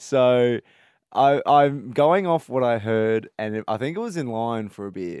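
A man with an Australian accent, lively intonation and a fairly slow pace, in a dry, close sound with no echo and a very clean recording with a silent background. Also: medium pitch for a man. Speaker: radio host. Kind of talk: casual chat. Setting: studio.

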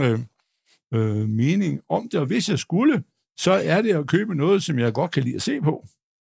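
On a very clean recording with a silent background, a man with vocal fry speaks at a fairly high pitch, his pitch swinging very widely. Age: 60s. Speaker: stock analyst. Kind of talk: live panel debate. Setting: stage with audience. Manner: halting.

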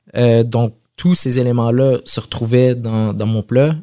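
Here a man talks at a fairly slow pace with medium pitch and fairly even intonation. The sound is dry and close, with no echo. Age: 30s. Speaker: chef. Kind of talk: interview. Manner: halting.

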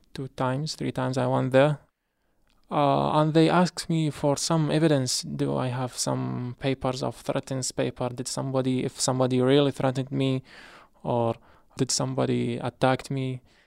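In an Arabic accent, a man speaks at a moderate pace, and the sound is dry and close with no echo. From Iraq. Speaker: refugee, former teacher. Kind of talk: testimony.

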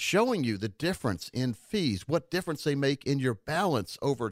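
A man with a fairly high pitch talks at a moderate pace, using very wide pitch swings and vocal fry. The recording is very clean with a silent background. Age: 50s. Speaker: financial advisor and radio host. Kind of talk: radio talk show. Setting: studio.

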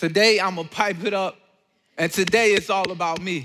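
Bright and sharp in tone, a man projects a raised, animated voice at a high pitch and a moderate pace. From Georgia, US. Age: 20s. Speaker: college student and speaker sharing testimony. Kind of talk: testimony talk.

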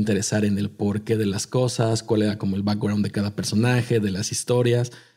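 A man with a fairly low pitch and a dark, mellow tone talks at a very fast pace, somewhat breathy, in a monotone, flat intonation. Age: 30s. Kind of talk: casual chat.

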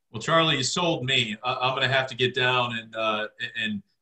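A man speaks in a plain, everyday voice with an American accent. His pace is moderate, his pitch medium with ordinary variation. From Michigan, Livonia. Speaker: podcast host. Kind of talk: casual chat.

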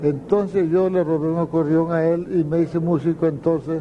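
This man's voice sits fairly high in pitch and moves at a moderate pace. His intonation is monotone and flat, with noticeable background noise behind him. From Colombian Caribbean, Valledupar area. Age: old. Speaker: accordionist. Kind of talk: interview, storytelling. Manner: halting.

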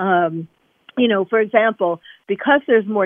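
A woman speaks with a New York accent at a moderate pace. Her intonation stays fairly even. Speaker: psychiatrist. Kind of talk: radio interview.

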